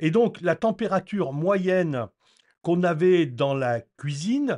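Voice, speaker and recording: A man with lively intonation. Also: quiet background. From France, Normandy (rural). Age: 60s. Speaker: eco-renovation educator. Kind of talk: informal explanatory talk. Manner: hesitant, many fillers.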